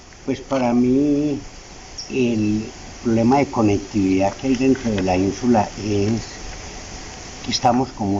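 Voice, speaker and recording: Noticeable background noise sits under a man speaking at a fairly slow pace, with a medium pitch and ordinary pitch variation. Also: long, frequent pauses. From Colombia, Chinchiná, Caldas. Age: 70s. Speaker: coffee farmer. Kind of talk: interview.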